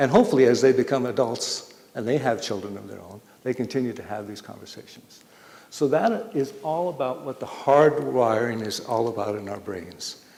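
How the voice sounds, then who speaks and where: A man at medium pitch and moderate pace, his intonation lively and his loudness swinging widely, over noticeable background noise. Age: 60s. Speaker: public health speaker. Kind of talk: public talk to community audience.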